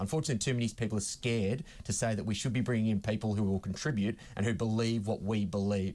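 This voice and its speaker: A man's fairly low voice, very fast and very even in loudness, with hardly any pauses over a quiet background. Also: fairly even intonation. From Australia. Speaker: political commentator. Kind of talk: heated debate.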